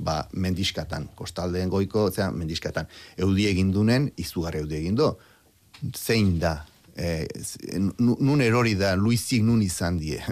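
The recording is very clean. A silent background sits behind ordinary pitch variation. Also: man, very deep, low pitch for a man. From Basque Country. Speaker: biologist and historian. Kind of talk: radio interview.

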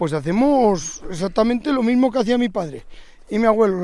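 A man speaks with a high pitch. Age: 50s. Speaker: farmer. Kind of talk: casual chat.

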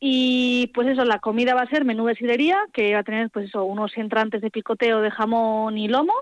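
In an ordinary speaking voice, a woman with a fairly high pitch is heard with a dry, close sound with no echo. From Álava, Basque Country. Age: 20s. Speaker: village festival organiser. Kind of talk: interview. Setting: phone call.

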